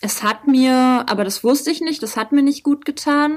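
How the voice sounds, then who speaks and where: A woman speaks at a fairly slow pace. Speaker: rapper. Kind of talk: casual interview.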